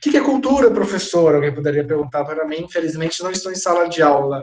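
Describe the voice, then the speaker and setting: Lively intonation runs through this man's speech. His pitch is high. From Alagoas, northeastern Brazil. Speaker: sociology professor. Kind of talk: lecture. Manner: halting, repeats words.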